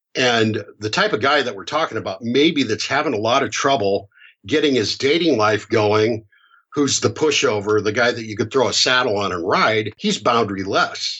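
With an American accent, a man uses a plain, everyday voice at medium pitch, moderate pace, and ordinary pitch variation. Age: 50s. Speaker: hypnotherapist. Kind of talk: podcast interview.

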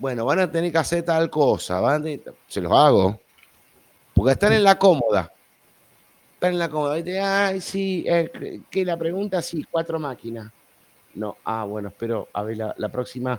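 Pausing long and often, a man speaks at a moderate pace and a fairly high pitch, with very wide pitch swings. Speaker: podcast host. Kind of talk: casual chat. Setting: live stream online.

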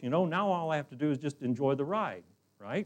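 A man's voice at a moderate pace, with very wide pitch swings. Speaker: visiting preacher. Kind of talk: sermon. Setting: church.

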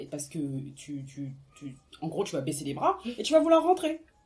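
A woman speaks with a very deep, low pitch and a somewhat breathy voice. Her intonation is lively. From France, Seine-Saint-Denis (93). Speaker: artist and podcaster, book discussion guest. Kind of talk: casual book discussion.

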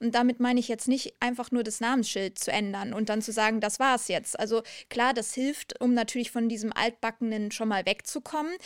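A woman at a fairly high pitch and a fairly quick pace, with hardly any pauses, in a dry, close sound with no echo and a very clean recording over a silent background. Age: 30s. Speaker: HR and employer branding manager. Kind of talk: interview. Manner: energetic; passionate.

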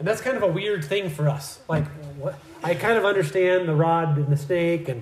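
Speaking with an American accent at a moderate pace, a man uses ordinary pitch variation, and audible room echo is present. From Iowa, US Midwest. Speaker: missionary church builder and visiting preacher. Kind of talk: sermon. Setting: church. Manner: halting, frequent fillers.

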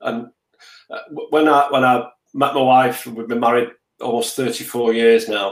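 A man with a Mancunian accent talks at a fairly slow pace and a medium pitch. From Manchester, England. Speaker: business leader. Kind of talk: interview. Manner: repetitive stammering starts.

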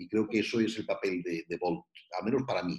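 A man with a medium-pitched voice. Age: 60s. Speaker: youth mentor. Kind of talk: interview.

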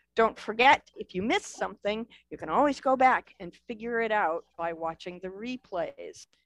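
The delivery has lively intonation and big swings in loudness at a moderate pace. The sound is dry and close, with no echo. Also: woman, fairly high pitch for a woman. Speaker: virtual book festival host and mystery game moderator. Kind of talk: event hosting. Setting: video call. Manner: animated.

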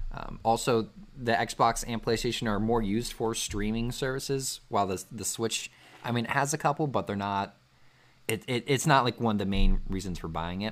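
On a very clean recording with a silent background, a man speaks at medium pitch and a moderate pace. He has an unremarkable speaking voice with ordinary pitch variation. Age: 20s. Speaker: podcast host. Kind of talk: casual chat.

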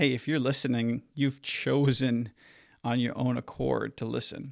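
A man talks at a fairly slow pace with medium pitch. The recording is very clean, with a silent background. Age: 20s. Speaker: podcast host and marketing agency owner. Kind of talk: solo audio journal monologue. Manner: halting, many fillers and restarts.

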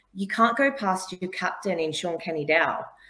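A woman with an Australian accent, medium pitch, lively intonation and a moderate pace. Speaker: sports broadcaster. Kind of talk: casual interview.

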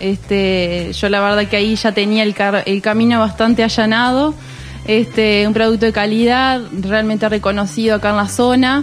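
A woman at a fairly high pitch and a moderate pace, with noticeable background noise. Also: fairly even intonation. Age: 20s. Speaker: cheese business manager. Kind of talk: radio interview. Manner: halting, many fillers.

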